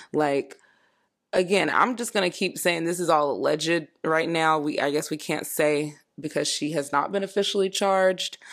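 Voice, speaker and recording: A woman's fairly low voice, a plain, everyday voice, with an American accent, moderate pace and ordinary pitch variation, on a very clean recording with a silent background. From Florida. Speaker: solo podcast host. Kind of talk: casual commentary monologue.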